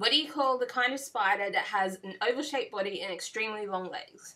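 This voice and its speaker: An Australian accent marks this woman's bright, sharp voice as she speaks at a moderate pace. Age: 20s. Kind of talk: casual talk to camera. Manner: hesitant, frequent fillers.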